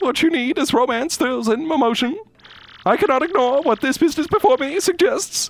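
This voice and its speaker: In a high, put-on character voice with a theatrical tone, the speaker moves at a fairly quick pace. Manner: exaggerated, theatrical.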